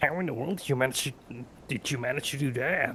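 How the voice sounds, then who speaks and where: Using a put-on character voice, a man speaks at a very fast pace and medium pitch. Clear background noise sits behind him. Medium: actual play. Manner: chatty, jovial.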